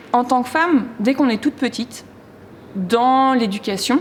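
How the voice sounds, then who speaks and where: The pace of this woman's speech is very slow. Her pitch shows ordinary variation. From France, provinces. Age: 30s. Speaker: performance artist. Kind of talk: interview. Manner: loud; halting.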